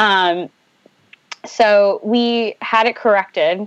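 A woman with an American accent has a plain, everyday voice and fairly even intonation. The sound is dry and close with no echo. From US Northeast, Boston. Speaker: advertising creative director and podcaster. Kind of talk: casual interview chat.

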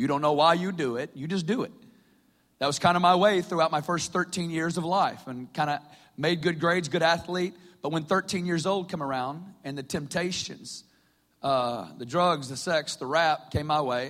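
A man with a Southern US accent, fairly high-pitched, at a moderate pace with ordinary pitch variation, on a very clean recording with a silent background. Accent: Southern American. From US South, Northwest Arkansas. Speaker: preacher. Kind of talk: sermon.

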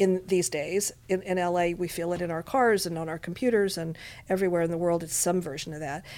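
A woman speaks quickly in an unremarkable speaking voice. Her pitch sits fairly low and her intonation stays fairly even. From Montreal, Quebec, Canada. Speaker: casting director and film director. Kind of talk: interview. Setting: studio.

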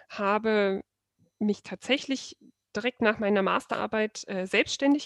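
A woman's ordinary speaking voice at medium pitch, with ordinary pitch variation, moderate pace, and a dry, close sound with no echo. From Saxony, Germany (Dresden). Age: 30s. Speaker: wedding photographer. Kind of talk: casual interview chat.

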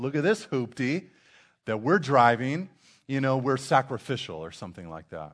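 With a normal speaking voice, a man talks at a moderate pace and a fairly high pitch, his intonation lively against a quiet background. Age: 30s. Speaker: pastor. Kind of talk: sermon. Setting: church.

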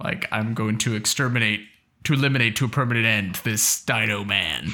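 Putting on a raspy character voice, a man speaks at medium pitch and a moderate pace with very even loudness. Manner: tough, menacing.

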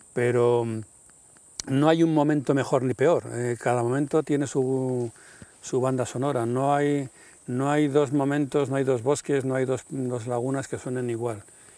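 A man's medium-pitched voice, dark and mellow in tone, monotone and flat, at a fairly slow pace with long, frequent pauses. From Madrid, Spain. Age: 60s. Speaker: nature sound recordist. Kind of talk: casual interview conversation. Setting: outdoors in a forest.

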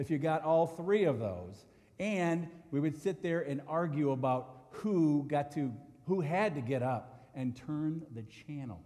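A man with a fairly high pitch speaks at a fairly slow pace with lively intonation, and the room echo is audible. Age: 50s. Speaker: pastor. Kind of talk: sermon.

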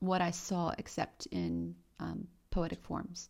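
A woman with a Romanian accent is heard on a very clean recording over a silent background. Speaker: poet. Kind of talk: interview monologue.

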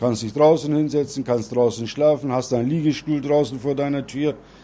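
A man's dark, mellow voice with fairly even intonation. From Bremen, Germany. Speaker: Turkish returnee. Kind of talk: interview.

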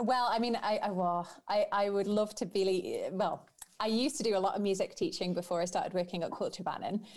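A woman with a Manx accent talks at a fairly quick pace and medium pitch, keeping her loudness very even. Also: ordinary pitch variation. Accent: Manx, British Isles. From Isle of Man. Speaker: Manx Gaelic singer. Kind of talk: casual interview chat.

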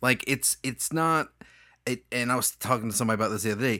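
Over a very clean recording with a silent background, a man speaks at a medium pitch with lively intonation and a bright, sharp tone. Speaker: podcast co-host. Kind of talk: casual chat.

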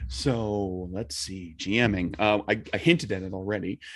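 An ordinary speaking voice with ordinary pitch variation against a quiet background. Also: man. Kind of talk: casual chat.

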